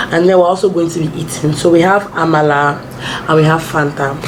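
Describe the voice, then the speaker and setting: There is noticeable background noise. An audible room echo can be heard. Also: woman. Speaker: lifestyle vlogger. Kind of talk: casual chat.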